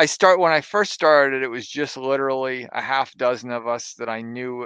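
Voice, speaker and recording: A man with a plain, everyday voice, medium pitch and ordinary pitch variation, at a moderate pace against a quiet background. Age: 50s. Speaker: board game designer and publisher. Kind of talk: casual chat.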